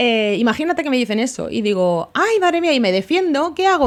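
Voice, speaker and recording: Her pitch swings very widely as she talks. The woman keeps up a fairly quick pace. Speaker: podcast host. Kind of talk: solo podcast monologue.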